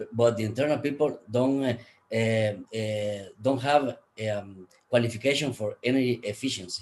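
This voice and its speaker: With a Spanish accent, a man talks at a medium pitch and moderate pace, keeping his intonation fairly even. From Guatemala. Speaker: energy efficiency expert, conference speaker. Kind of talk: conference presentation. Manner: halting, many fillers.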